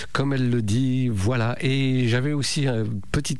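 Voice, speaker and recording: Over noticeable background noise and audible room echo, the voice moves with ordinary pitch variation. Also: man. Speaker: radio host. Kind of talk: radio show presenting.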